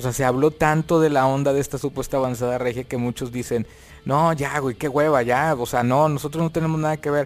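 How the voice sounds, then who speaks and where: Here a man with an unremarkable speaking voice talks at a fairly quick pace. His pitch is fairly high and his intonation fairly even. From Monterrey, northern Mexico. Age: 40s. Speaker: rock keyboardist and composer. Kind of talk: casual interview chat.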